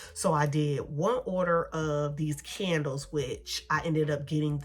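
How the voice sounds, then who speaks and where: Her tone animated, a woman speaks with a very deep, low pitch. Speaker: beauty and shopping vlogger. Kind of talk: casual haul vlog chat.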